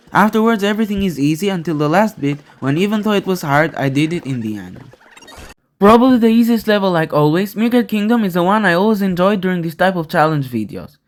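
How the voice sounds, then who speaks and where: Speaking at a fairly quick pace with lively intonation, a man with a non-native accent has a high voice. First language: not English. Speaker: gaming YouTuber. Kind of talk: scripted narration.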